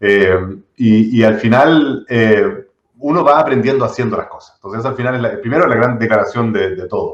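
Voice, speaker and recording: A man speaks in a Chilean accent. His loudness swings widely. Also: medium pitch for a man, ordinary pitch variation, moderate pace. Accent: Chilean Spanish, fully. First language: not Spanish (speaking Spanish). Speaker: tech entrepreneur. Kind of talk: interview conversation. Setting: live stream. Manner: hesitant, many fillers and repetitions.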